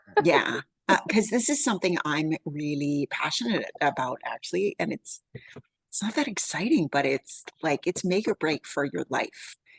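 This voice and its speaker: In a Canadian accent, a woman speaks at a moderate pace with very wide pitch swings. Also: fairly low pitch for a woman. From Canada, Yukon. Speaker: wealth building coach. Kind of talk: casual chat.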